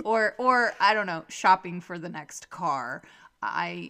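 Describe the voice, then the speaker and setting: At a fairly slow pace, a woman speaks on a very clean recording with a silent background. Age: 40s. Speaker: guest, host's wife. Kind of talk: casual chat, interview with her husband.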